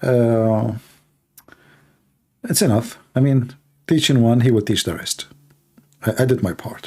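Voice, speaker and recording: A man with an Arabic accent at a medium pitch, dark and mellow in tone, going at a fairly slow pace with ordinary pitch variation and long, frequent pauses. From Middle East. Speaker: live call-in show host on religion. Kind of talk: live call-in show chat. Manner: animated.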